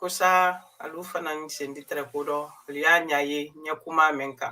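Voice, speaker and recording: The speaker has a West African accent. The pace is fairly slow. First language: Mandinka. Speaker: community news presenter. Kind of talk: live news commentary. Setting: live stream.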